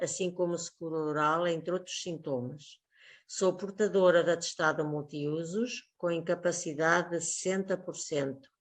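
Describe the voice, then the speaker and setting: A woman speaks in a normal speaking voice at a fairly slow pace over a quiet background. Her pitch is fairly low and her intonation fairly even. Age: 60s. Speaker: teacher. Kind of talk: testimony. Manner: formal.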